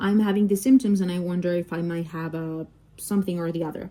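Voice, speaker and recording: Ordinary pitch variation and a moderate pace in a woman's medium-pitched voice. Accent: Spanish. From Mexico. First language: Spanish. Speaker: doctor and diamond painting vlogger. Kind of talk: casual chat. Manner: halting, many fillers.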